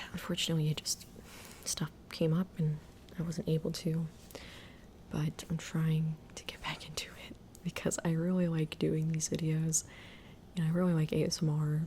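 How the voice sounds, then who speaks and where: A soft-spoken woman talks in a very deep, low voice with monotone, flat intonation. She leaves long, frequent pauses. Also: moderate pace. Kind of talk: casual talk to camera.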